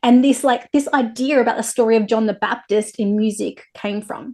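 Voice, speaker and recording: An animated woman speaks in an Australian accent. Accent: thick Australian. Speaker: interviewer. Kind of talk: interview.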